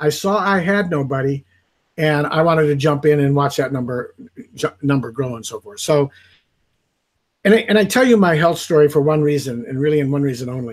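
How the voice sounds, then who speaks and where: This man has a normal speaking voice, pitched fairly high for a man. He talks at a fairly quick pace with ordinary pitch variation. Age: 60s. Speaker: network marketing affiliate. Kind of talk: testimony. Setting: live video stream.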